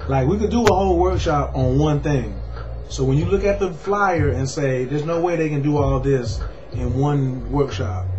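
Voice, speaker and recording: A man's voice with music in the background. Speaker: workshop teacher. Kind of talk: casual promotional chat. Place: home room. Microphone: webcam.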